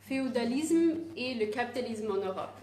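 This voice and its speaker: A woman with a non-native accent speaks at a high pitch and a fairly slow pace. Her pitch varies in an ordinary way, and room echo is audible. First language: not French (speaking French). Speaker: activist speaker. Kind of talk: presentation. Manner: halting, many hesitations.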